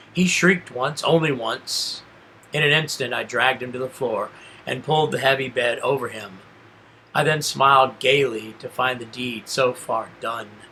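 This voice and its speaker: With noticeable background noise present, a man's pitch varies in an ordinary way. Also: medium pitch for a man, moderate pace. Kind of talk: horror story reading. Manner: calm.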